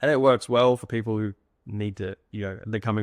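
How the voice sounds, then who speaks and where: Over a quiet background, a man with an Australian accent talks at a fairly quick pace in a fairly low pitch, with a dry, close sound and no echo. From Australia, Sunshine Coast Queensland. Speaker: software founder, former estimator. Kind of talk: casual interview chat. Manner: fast; hesitant, many fillers and repeats.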